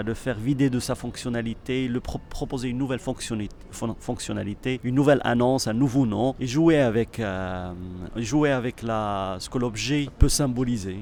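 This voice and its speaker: A man's medium-pitched voice carries fairly even intonation at a moderate pace. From Morocco. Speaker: artist and choreographer. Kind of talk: interview. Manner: halting.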